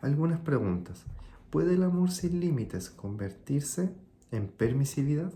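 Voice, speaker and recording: This man talks at a fairly slow pace in a Chilean accent, with very wide pitch swings. His tone is dark and mellow, and somewhat breathy. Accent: Chilean, sing-song. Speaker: consultant and video host. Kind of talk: reflective monologue.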